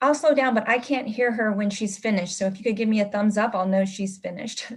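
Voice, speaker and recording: Speaking at a very fast pace, a woman with a fairly high pitch sounds somewhat breathy and uses ordinary pitch variation. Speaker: school administrator. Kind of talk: presentation at meeting.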